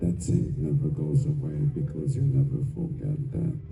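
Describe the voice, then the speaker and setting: Medium-pitched male voice with very wide pitch swings, audible room echo and music in the background. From Hungary. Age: 80s+. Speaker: film director. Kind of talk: convention panel Q&A. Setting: stage with audience. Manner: halting.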